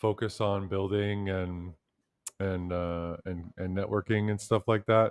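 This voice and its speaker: A man delivers his words at a fairly slow pace in a monotone, flat intonation, with a dry, close sound with no echo and a quiet background. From Canada, Toronto. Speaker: podcast host. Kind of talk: casual interview chat.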